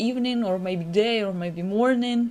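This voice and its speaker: A woman's lively intonation over music in the background. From Ukraine. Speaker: motion designer. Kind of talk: live-stream tutorial. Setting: live stream. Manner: halting, frequent fillers.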